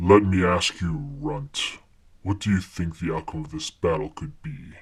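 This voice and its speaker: A man growls in a put-on character voice at a fairly low pitch. His pace is moderate. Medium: audio drama. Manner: solemn, cryptic.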